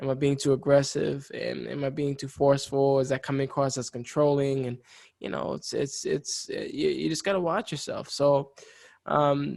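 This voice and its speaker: A man's voice moves at a moderate pace, the background quiet. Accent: New York. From New York. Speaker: podcast co-host. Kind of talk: casual chat.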